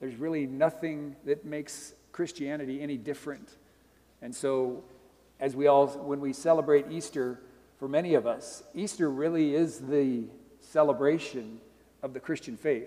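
This man's fairly high voice has a dark, mellow tone and fairly even intonation. He keeps a moderate pace, with big swings in loudness. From Montana. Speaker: missionary. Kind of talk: sermon.

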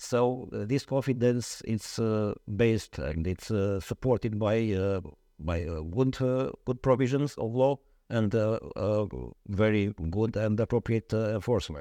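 A man with a Romanian accent talks at a fairly slow pace in a fairly low pitch, his tone dark and mellow and the sound dry and close with no echo. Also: ordinary pitch variation. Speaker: lawyer. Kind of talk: interview. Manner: halting.

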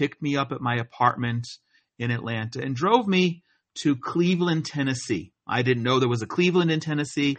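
A man with an American accent and a plain, everyday voice talks at a fairly quick pace, his pitch fairly high for a man with ordinary pitch variation. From US Northeast, New Jersey. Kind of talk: interview.

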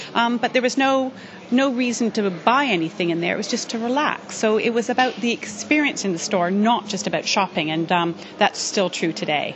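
A woman speaks at a fairly quick pace with lively intonation and a fairly high pitch, over noticeable background noise. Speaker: store executive. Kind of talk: casual interview chat. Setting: department store.

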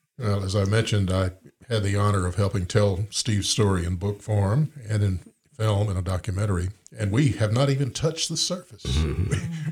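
With an Alabama accent, the speaker sounds somewhat breathy, with lively intonation at a moderate pace. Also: man, fairly low pitch for a man. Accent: Southern US (Alabama). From US South. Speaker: podcast host and author. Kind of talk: casual interview.

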